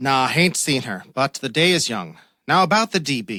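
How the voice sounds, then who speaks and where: Using a gruff, put-on character voice, a man speaks at a medium pitch with very wide pitch swings. The pace is moderate, and the recording is very clean with a silent background. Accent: slight Irish. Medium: audio drama. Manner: gruff, commanding.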